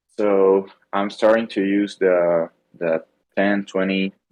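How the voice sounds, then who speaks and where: A man speaks with a non-native accent and a very deep, low pitch. His intonation is monotone and flat. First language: not English. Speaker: trading class member. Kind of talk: question in live class. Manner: halting.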